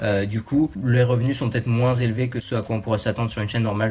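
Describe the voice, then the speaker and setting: A man rushes through his words very fast, his intonation monotone and flat. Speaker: YouTuber. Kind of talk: casual talk to camera.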